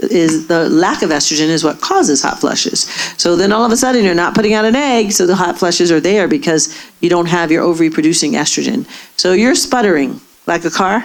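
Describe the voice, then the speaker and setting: Very fast speech with lively intonation and very even loudness, over noticeable background noise. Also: woman, fairly low pitch for a woman. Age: 60s. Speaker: gynecologist. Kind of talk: audience Q&A.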